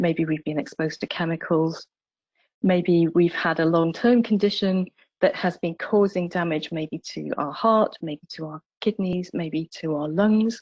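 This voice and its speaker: A woman with a normal speaking voice talks fairly slowly at a fairly low pitch, with ordinary pitch variation and a dry, close sound with no echo. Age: 60s. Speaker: palliative care doctor. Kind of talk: webinar presentation.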